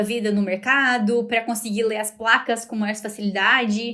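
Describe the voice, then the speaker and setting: A woman's voice with a fairly high pitch. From Brazil. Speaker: podcast host and fashion master's student. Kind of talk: casual podcast monologue. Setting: recorded in front of university building. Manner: conversational with frequent hesitations.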